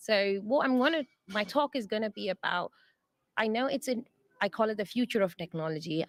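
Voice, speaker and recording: A woman's medium-pitched voice with an English accent, lively in intonation and fairly quick in pace, on a very clean recording with a silent background and a dry, close sound free of echo. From England. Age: 30s. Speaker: software testing lead. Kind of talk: interview. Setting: conference.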